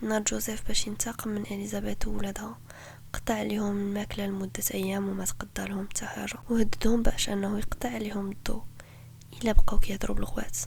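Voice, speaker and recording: A woman with a Moroccan accent at a fairly quick pace. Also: big swings in loudness. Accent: Moroccan Darija. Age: 20s. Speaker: podcast host. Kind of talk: true crime podcast narration.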